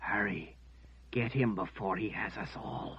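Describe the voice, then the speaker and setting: A man uses a put-on character voice at a fairly slow pace. His pitch is fairly low. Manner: groaning in pain, urgent.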